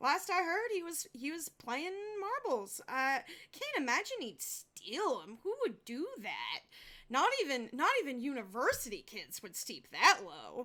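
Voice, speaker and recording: Using a put-on character voice, a woman speaks at a high pitch and a moderate pace, with very wide pitch swings and big swings in loudness. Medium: actual play. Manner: casual, gossipy.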